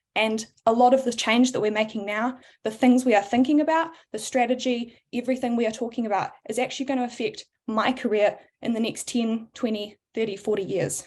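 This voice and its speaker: Fairly high in pitch, a woman talks with a New Zealand accent. Her pace is fairly quick and her intonation fairly even. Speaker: board candidate, power engineer. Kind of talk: candidate speech at panel.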